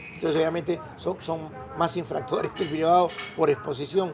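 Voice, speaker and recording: A man talks at a fairly quick pace in a fairly high pitch, with noticeable background noise. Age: 70s. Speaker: road safety advocate. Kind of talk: interview.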